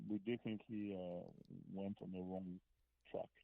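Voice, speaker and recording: A man with a French accent, fairly low in pitch, at a moderate pace with monotone, flat intonation. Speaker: rock musician. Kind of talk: interview. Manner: halting.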